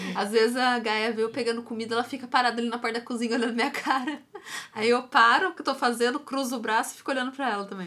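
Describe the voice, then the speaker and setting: Fairly even in intonation, a woman speaks at a very fast pace and a high pitch. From Brazil, Taubaté (São Paulo state). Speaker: dog trainer and podcast co-host. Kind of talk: casual chat.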